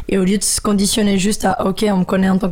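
A woman's voice sits at a medium pitch. Noticeable background noise runs underneath. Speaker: beatboxer and singer. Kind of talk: casual interview.

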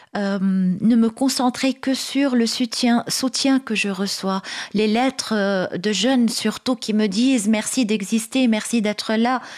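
With an Arabic accent, a woman speaks at a very slow pace and a fairly high pitch, her intonation fairly even and her loudness very even. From Lebanon. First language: Arabic (speaking French). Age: 40s. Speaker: writer and activist. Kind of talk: radio interview. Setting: radio studio.

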